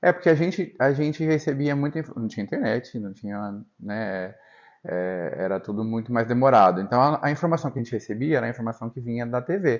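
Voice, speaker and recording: With lively intonation, a man talks at a fairly quick pace in a medium pitch. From northern Paraná, Brazil. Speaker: podcast host. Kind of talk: casual interview chat.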